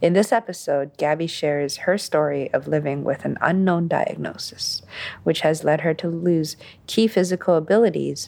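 A woman with fairly low pitch and an unremarkable speaking voice talks at a moderate pace with ordinary pitch variation. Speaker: podcast host reading guest intro. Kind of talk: scripted introduction.

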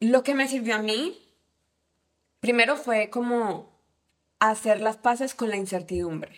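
Pausing long and often, a woman with a Cali Colombian accent speaks at a fairly slow pace, her fairly high pitch showing ordinary pitch variation. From Colombia, Cali. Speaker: tech team lead, former au pair. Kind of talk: casual interview chat. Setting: host's home.

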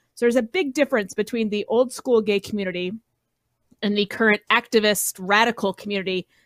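A woman's normal speaking voice, fairly high in pitch, with an American accent, ordinary pitch variation and a fairly quick pace, in a very clean, dry, close recording with no echo and a silent background. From Colorado, US. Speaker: political podcast panelist. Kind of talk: casual political chat.

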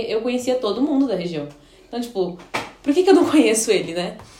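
High woman's voice at a fairly quick pace, very wide pitch swings, audible room echo, and noticeable background noise. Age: 20s. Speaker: biology teacher and pastor's wife. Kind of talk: casual chat. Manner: halting.

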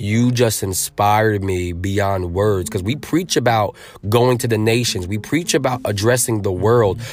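With an American accent, a man talks at a fairly low pitch in an animated tone with ordinary pitch variation. The recording is very clean, with a silent background. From Connecticut, Norwich / New London area. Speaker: speaker, author and faith-based community leader. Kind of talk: casual interview chat. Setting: in person in Connecticut.

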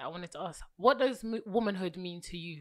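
On a very clean recording with a silent background, a woman with an ordinary speaking voice talks at a fairly quick pace with lively intonation. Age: 20s. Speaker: podcast host. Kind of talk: scripted outro; casual interview.

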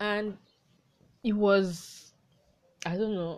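A woman is speaking. She has a southwestern Nigerian accent. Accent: Nigerian (Yoruba-area) English. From southwest Nigeria. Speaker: podcast host. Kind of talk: solo educational talk. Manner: halting, with many fillers.

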